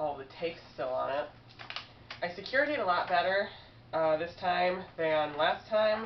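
Against light background noise, a woman talks at a fairly slow pace in a fairly low pitch. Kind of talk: casual vlog chat. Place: home room. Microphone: webcam.

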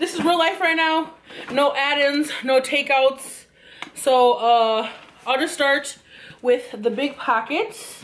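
A woman at a slow pace and high pitch, fairly even in intonation, with few pauses and audible room echo

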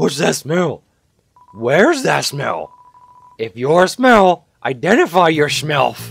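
Someone speaks at a fairly slow pace in a put-on character voice. Faint music plays in the background. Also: man, fairly high pitch for a man. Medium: game stream. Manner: suspicious, then wonderstruck.

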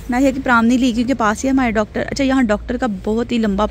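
A woman at a fairly quick pace, fairly even in intonation, with a dry sound, no echo and light background noise. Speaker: vlogger. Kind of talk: casual vlog chat. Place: street. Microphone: phone near.

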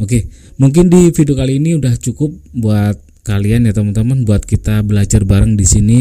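Speaking at a fairly quick pace, a man with a fairly low pitch and a dark, mellow tone uses ordinary pitch variation against a quiet background. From Indonesia. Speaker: YouTuber, music tutorial maker. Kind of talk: tutorial. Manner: casual, hesitant with fillers.

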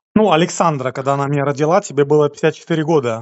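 The speaker is a man with a fairly high pitch and a slightly mellow tone. His pitch varies in an ordinary way.

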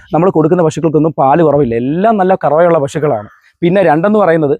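A man speaks at a fairly high pitch. His pitch varies an ordinary amount. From Kerala, Kollam district. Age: 20s. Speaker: cattle trader. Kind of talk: interview with sales pitch. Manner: animated.

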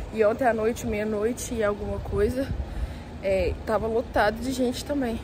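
Noticeable background noise sits behind a woman speaking. She moves at a moderate pace with ordinary pitch variation. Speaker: travel vlogger. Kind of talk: casual vlog chat. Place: street. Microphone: phone near.

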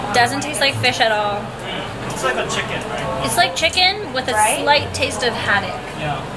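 A woman keeps a moderate pace despite loud background noise all around her. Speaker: travel food vlogger. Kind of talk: casual vlog chat. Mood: playful, amused. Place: bar. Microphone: phone near.

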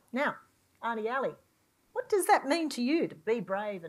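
A woman at a moderate pace, with a quiet background. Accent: Australian. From Australia. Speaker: university executive and event moderator; panel moderator. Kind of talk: panel moderation; panel moderation question. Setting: stage with audience. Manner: animated. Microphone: lapel.

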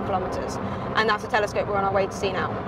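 There is music in the background as a woman talks, the sound dry with no echo. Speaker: presenter. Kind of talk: explanatory commentary. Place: car. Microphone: phone near.

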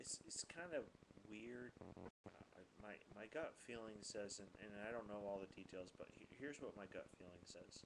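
A man with an unremarkable speaking voice talks at a fairly low pitch. His pace is moderate and his pitch varies in an ordinary way. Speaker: church preacher. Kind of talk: casual talk to camera.

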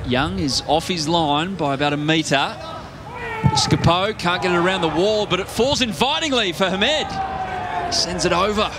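Against noticeable background noise, a man sounds excited, speaking at a high pitch with lively intonation. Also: moderate pace. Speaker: football match commentator. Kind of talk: live sports commentary. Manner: rising, excited tone at key moments.

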